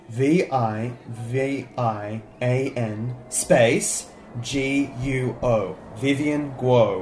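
A man speaks at a very slow pace with a medium pitch and ordinary pitch variation. Music plays in the background. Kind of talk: scripted audio fiction.

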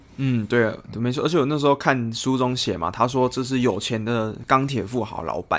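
With a Taiwanese accent, a man speaks at a moderate pace and a medium pitch, with ordinary pitch variation. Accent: Taiwanese Mandarin. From Taiwan, Kaohsiung. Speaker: football podcast co-host. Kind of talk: casual chat.

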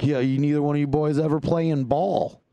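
A man's dark, mellow tone at a fairly high pitch. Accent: American. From northern Indiana, US Midwest. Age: 30s. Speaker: comedian. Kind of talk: casual chat. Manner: loud; mumbling.

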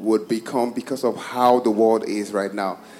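Noticeable background noise runs through the clip. Over it, a man is talking. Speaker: church choir member. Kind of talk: interactive church service sharing.

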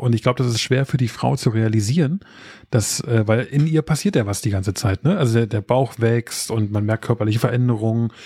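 A man speaks fairly quickly at a medium pitch, his dark, mellow tone somewhat breathy and his pitch varying in an ordinary way. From Berlin area. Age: 30s. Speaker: podcast co-host, expectant father. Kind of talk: casual chat.

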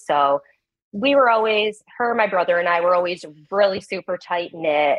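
A woman with a plain, everyday voice, fairly low pitch, ordinary pitch variation, and moderate pace. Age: 30s. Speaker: caller, stay-at-home mother. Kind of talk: advice call.

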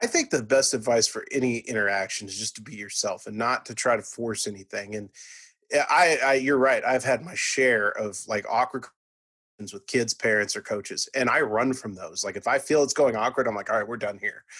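A man with a Texan accent at a fairly quick pace, loudness swinging widely, over a quiet background. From Texas, Irving (Dallas area). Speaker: college sports reporter. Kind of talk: casual interview.

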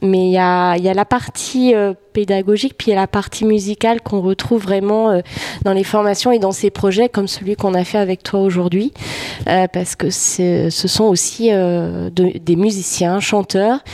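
With noticeable background noise yet a dry, close sound with no echo, a woman speaks at a medium pitch and fairly slow pace, her intonation fairly even and her loudness very even. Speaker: music educator. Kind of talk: casual interview. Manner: hesitant, many fillers.

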